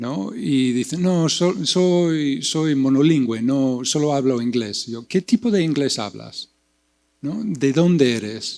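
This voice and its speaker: Speaking very slowly, a man uses lively intonation in a fairly high voice. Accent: non-native. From US Midwest, Iowa. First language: English (speaking Spanish). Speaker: poet and translation professor. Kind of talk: panel discussion. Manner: halting, many repetitions.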